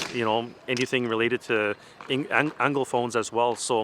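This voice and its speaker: A man speaks in a Franco-Ontarian accent at a medium pitch and moderate pace. His intonation is fairly even, and there is noticeable background noise. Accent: Franco-Ontarian Canadian English. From Eastern Ontario, Canada. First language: French. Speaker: hockey parent. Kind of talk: interview. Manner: hesitant, many fillers.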